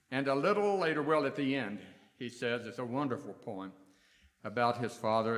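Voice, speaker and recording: Ordinary pitch variation marks a man speaking with an American accent at a moderate pace amid audible room echo. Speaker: minister. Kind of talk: sermon. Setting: church.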